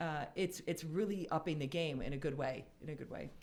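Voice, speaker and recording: A woman with an American accent has an ordinary speaking voice, fairly low in pitch, with ordinary pitch variation at a fairly quick pace. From Wheaton, Illinois. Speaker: real estate brokerage executive. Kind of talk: radio talk show interview. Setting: radio studio.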